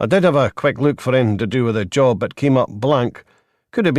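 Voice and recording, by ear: Reading aloud in a natural voice, with lively intonation. The background is quiet.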